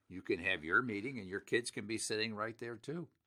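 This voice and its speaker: An animated voice with a bright, sharp tone speaks in an American accent. The recording is very clean with a silent background. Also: man. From Pittsburgh, Pennsylvania (US). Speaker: elder law attorney and radio host. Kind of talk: sponsored radio talk show. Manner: animated, emphatic.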